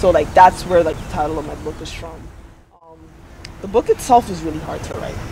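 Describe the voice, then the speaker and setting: A man at a fairly quick pace, with big swings in loudness, long and frequent pauses, and noticeable background noise. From Dominican Republic. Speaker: poet and author. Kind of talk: spoken word poetry; interview.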